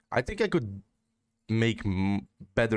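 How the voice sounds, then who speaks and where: A man with a fairly low voice speaks over a quiet background. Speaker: gaming streamer. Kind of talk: casual gameplay commentary.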